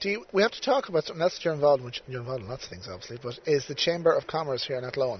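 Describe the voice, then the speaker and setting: A somewhat breathy, fairly high male voice, very fast with hardly any pauses and lively intonation. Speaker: podcast host. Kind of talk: casual interview chat. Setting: outdoors by the river.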